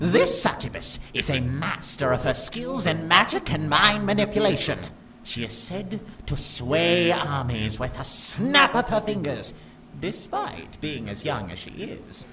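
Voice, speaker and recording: Putting on a character voice, a man speaks fairly slowly and high with very wide pitch swings over clear background noise. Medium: video game. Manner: formal, deferential.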